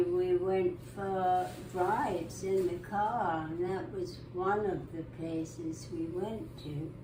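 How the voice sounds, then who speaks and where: A woman with medium pitch speaks at a very slow pace amid noticeable background noise and audible room echo. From southern England, Eastbourne. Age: 90s. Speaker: interviewee. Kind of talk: life story interview.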